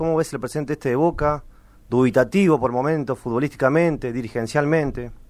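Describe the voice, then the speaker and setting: Very fast and fairly high-pitched, a man talks with ordinary pitch variation. The recording is very clean, with a silent background. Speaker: sports radio co-host. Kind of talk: radio interview.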